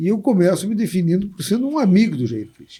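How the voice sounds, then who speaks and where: A man's dark, mellow-toned voice. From Brazil, Porto Alegre. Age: 60s. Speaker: labor lawyer and city councillor. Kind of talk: interview conversation.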